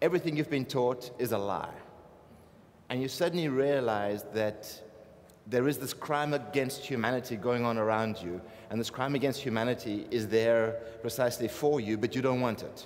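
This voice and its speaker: Audible room echo surrounds a man with a South African accent. He talks at a moderate pace. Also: medium pitch for a man, ordinary pitch variation. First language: Afrikaans. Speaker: artist. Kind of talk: panel talk. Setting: stage with audience, microphone.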